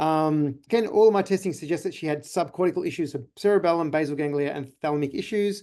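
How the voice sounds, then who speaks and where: With an Australian accent, a man races along at a very fast pace with hardly any pauses, his dark, mellow tone set at a fairly high pitch with ordinary pitch variation against a quiet background. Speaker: chiropractor. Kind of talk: webinar presentation. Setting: online webinar.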